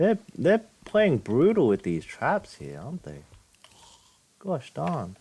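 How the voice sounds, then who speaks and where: A man's voice shows vocal fry and very wide pitch swings. He leaves long, frequent pauses. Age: 20s. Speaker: gaming streamer. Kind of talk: let's play commentary. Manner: halting.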